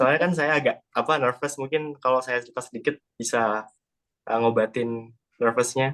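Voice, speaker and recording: Moderate pace from a man with a Sundanese accent, medium pitch and fairly even intonation. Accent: sounds Sundanese. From Central Java (Salatiga). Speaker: student. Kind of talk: class presentation. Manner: hesitant, many fillers.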